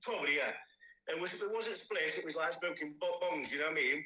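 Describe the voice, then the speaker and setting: Audible room echo around a voice with an East Midlands accent. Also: man. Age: 40s. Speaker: person in addiction recovery. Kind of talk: interview testimony. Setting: podcast recording. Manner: halting, many fillers.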